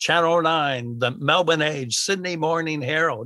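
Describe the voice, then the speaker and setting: A man with an American accent speaks at a moderate pace, fairly high in pitch with a bright, sharp tone and ordinary pitch variation. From US. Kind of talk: interview conversation. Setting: at home, remote recording.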